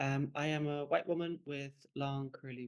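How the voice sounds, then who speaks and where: In an Irish accent, a woman talks with a very deep, low pitch. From Ireland. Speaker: curator. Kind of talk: panel presentation. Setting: online panel.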